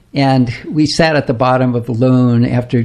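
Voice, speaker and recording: This man speaks at a very slow pace with an American accent and a medium pitch. His intonation stays fairly even, and there is noticeable background noise. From US Pacific Northwest, Seattle. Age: 80s+. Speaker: retired dentist and saxophonist. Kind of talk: radio interview. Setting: radio studio.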